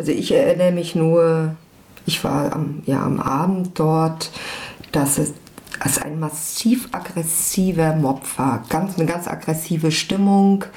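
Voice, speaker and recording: A woman with a fairly low pitch speaks at a very slow pace over noticeable background noise. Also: ordinary pitch variation. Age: 40s. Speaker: former activist. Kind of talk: interview testimony.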